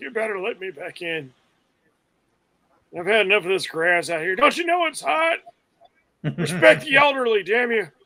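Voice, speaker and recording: Using a put-on character voice with a high pitch, a man talks at a moderate pace with long, frequent pauses. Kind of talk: gruff, demanding. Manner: grumpy, complaining.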